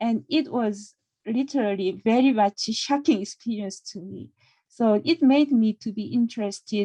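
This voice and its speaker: A woman with a Korean accent speaks at a moderate pace in a fairly high, somewhat breathy voice with a dark, mellow tone, ordinary pitch variation and big swings in loudness, the sound dry and close with no echo. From South Korea. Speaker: counseling professor. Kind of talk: self-introduction.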